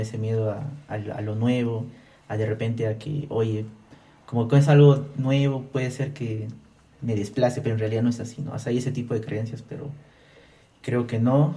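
Somewhat breathy and dark, mellow in tone, a man talks at medium pitch and a moderate pace with fairly even intonation, with audible room echo. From Peru, Abancay (Apurímac, Andean region). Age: 20s. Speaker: technology entrepreneur. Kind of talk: casual interview.

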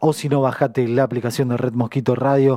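A man speaks at a moderate pace and a medium pitch. His tone is dark and mellow, and the sound is dry and close with no echo. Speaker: radio host. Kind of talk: radio show chat. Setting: radio studio.

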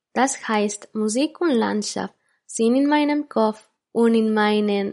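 A woman's fairly high voice in a Spanish accent, very slow, with ordinary pitch variation. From Barcelona, Spain (born in Ecuador). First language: Spanish (speaking German). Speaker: podcast host. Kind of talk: scripted narration.

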